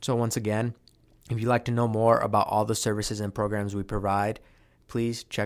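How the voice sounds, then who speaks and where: Flat and monotone, a man speaks with an American accent. The recording is very clean, with a silent background. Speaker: podcast host. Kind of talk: podcast interview.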